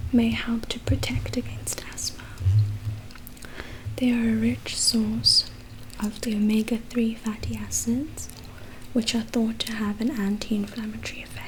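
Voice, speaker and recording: Long, frequent pauses over music in the background. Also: woman. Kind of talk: ASMR book reading. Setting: chewing gum while speaking. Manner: soft-spoken, slow.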